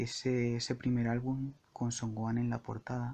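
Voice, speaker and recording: A man speaks very slowly at a medium pitch, his tone dark, mellow and relaxed. His intonation stays monotone and flat. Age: 20s. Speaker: podcaster and entertainment journalist. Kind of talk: solo improvised monologue. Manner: relaxed, intimate; halting, frequent word repetitions.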